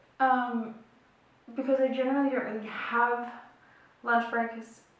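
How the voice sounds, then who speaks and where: Audible room echo surrounds a woman with an Australian accent. Her pitch is high and her pace fairly slow. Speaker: beauty and chat vlogger. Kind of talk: casual chat while doing makeup. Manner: chatty, filler-heavy.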